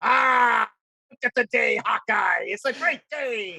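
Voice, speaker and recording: A man puts on a character voice at extremely high pitch. He speaks at a fairly slow pace. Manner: hearty, cheerful.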